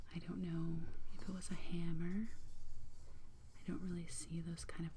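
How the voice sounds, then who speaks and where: The speaker is soft-spoken. Noticeable background noise runs under the voice. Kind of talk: ASMR soft-spoken storytelling.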